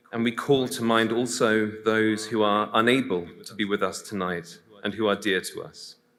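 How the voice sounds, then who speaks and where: A man's bright, sharp voice with flat, monotone intonation. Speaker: priest. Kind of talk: prayer.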